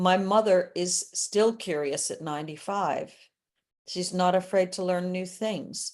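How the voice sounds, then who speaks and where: This woman has a normal speaking voice at medium pitch. Her intonation is fairly even. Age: 60s. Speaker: entrepreneur and sales coach. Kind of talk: podcast interview.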